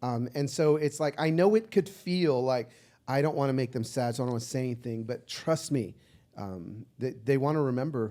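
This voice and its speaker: At a moderate pace, a man speaks in an animated tone at a medium pitch with ordinary pitch variation. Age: 50s. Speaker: social media personality. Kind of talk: casual chat. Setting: stage with audience.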